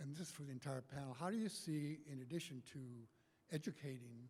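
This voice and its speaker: Somewhat breathy and with a dark, mellow tone, a man speaks at a fairly quick pace with a fairly high pitch and ordinary pitch variation. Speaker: audience member asking a question. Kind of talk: audience question. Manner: halting.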